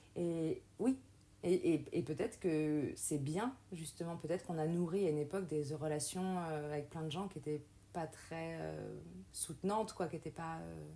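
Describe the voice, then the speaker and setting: A woman with a very deep, low pitch talks at a fairly slow pace in a dark, mellow tone, with ordinary pitch variation. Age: 30s. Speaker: podcast host, teacher. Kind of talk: casual interview chat.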